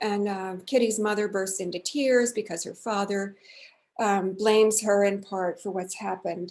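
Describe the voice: Fairly even intonation in plain reading aloud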